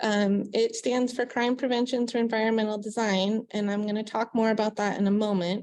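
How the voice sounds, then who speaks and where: Soft-spoken and at a fairly high pitch, a woman talks at a fairly quick pace with hardly any pauses, flat monotone intonation and very even loudness against a quiet background. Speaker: city economic development manager. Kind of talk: presentation.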